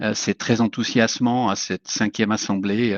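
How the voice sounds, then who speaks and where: A man with a French accent. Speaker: water agency director. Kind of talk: formal speech. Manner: halting; slow.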